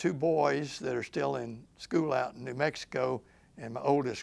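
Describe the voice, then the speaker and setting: Speaking very slowly with vocal fry, a man with a Memphis accent keeps to a medium pitch. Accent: Southern US (Memphis, Tennessee). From US South. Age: 70s. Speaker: lawyer. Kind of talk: oral history interview. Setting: recorded interview in Memphis. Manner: halting.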